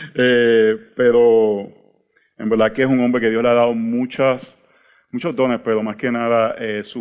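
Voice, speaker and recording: A man with a Puerto Rican accent. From Puerto Rico. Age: 40s. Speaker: pastor. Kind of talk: teaching workshop talk. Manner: halting, repeats words.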